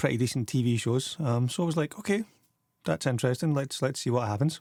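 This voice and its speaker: Speaking with a Scottish accent, a man uses lively intonation at a medium pitch. The sound is dry and close with no echo. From Scotland. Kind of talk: casual movie review to camera.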